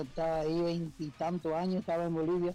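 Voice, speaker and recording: Here a man is speaking. Noticeable background noise runs under his voice. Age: 60s. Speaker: football commentator. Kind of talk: radio phone interview. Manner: halting.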